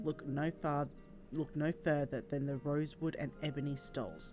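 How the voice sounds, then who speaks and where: At a moderate pace, a quiet voice talks over music in the background. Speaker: video game streamer. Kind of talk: reading unvoiced game dialogue aloud. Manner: quiet, low volume.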